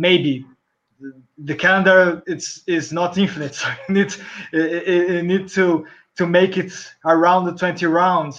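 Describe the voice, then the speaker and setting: A man talks with a Portuguese accent. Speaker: rugby journalist. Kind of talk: casual chat.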